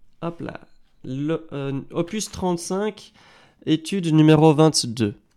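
This man talks at a very slow pace, with a slight Belgian accent. His tone is dark and mellow, and his pitch is fairly high. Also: ordinary pitch variation. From Belgium. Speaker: guitar teacher. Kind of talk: live stream tutorial. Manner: hesitant, many fillers.

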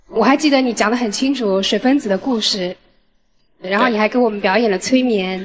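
Over light background noise, a woman with a fairly high pitch speaks at a moderate pace with ordinary pitch variation. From Shanghai. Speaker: dating show contestant. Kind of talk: dating show confession. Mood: warm, slightly shy. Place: stage. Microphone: handheld.

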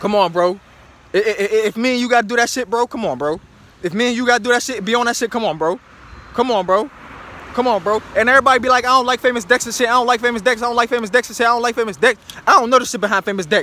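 A man's raised, projected voice at an extremely high pitch, very fast pace and ordinary pitch variation, with a dry sound and no echo. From Pittsburgh, Pennsylvania, US; Pennsylvania. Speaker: social media commentator. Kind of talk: impassioned vlog monologue. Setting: self-recorded video on camera. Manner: emphatic, repetitive. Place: street. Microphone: phone near.

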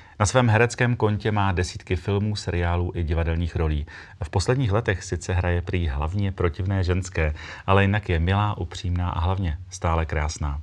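A man with a very deep, low voice talks at a moderate pace, his pitch varying in an ordinary way. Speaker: talk show host. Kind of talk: show introduction. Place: studio. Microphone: lapel.

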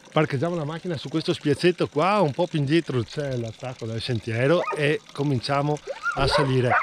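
A man at a moderate pace with ordinary pitch variation, dry sound with no echo, and loud background noise. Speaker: hiking vlogger. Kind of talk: casual vlog chat. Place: open country. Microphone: phone near.

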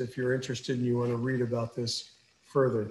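Light background noise and audible room echo surround the voice. A man speaks with monotone, flat intonation. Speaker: neurosurgeon; presenter. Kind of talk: lecture. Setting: video call. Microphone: video call.

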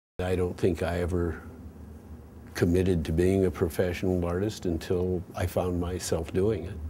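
A man speaks at a moderate pace in a very deep, low pitch with a dark, mellow tone. His voice is somewhat breathy and his intonation monotone and flat. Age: 70s. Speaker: artist and sculptor. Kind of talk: interview reflection. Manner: halting, frequent fillers.

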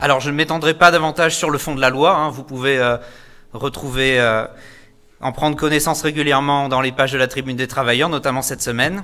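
A man's fairly high voice with a bright, sharp tone, fairly even intonation and a fairly quick pace. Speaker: school activity leader and union activist; speaker. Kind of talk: political rally speech. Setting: stage with audience. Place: hall. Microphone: podium.

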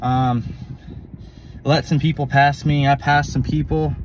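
With monotone, flat intonation, a man speaks at fairly high pitch in dry sound with no echo over light background noise. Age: 30s. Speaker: amputee vlogger. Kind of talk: casual vlog monologue. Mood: reflective, a bit worked up. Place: car. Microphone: phone near.

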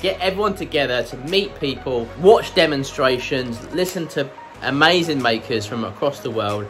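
A man talks at a moderate pace with clear music in the background. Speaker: maker channel host. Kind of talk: casual vlog chat. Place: workshop. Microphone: phone near.

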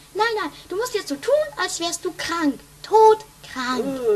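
A woman uses a put-on character voice at an extremely high pitch, swinging very widely. She talks at a fairly slow pace. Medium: audio drama. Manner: bossy, impatient.

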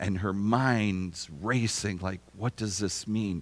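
Here a man talks at a very slow pace. His voice sits at a fairly low pitch. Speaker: preacher. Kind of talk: sermon. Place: church.

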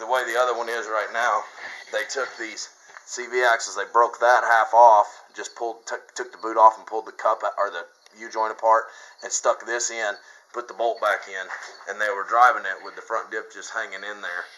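Light background noise sits behind a man talking at a moderate pace. His loudness swings in a big way. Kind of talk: casual vlog chat. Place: farm machine. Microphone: phone near.

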